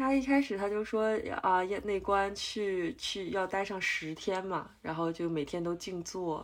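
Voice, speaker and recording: Pitched at a medium level for a woman, her voice is an ordinary speaking voice with ordinary pitch variation. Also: fairly slow pace. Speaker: meditation retreat participant. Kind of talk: casual chat.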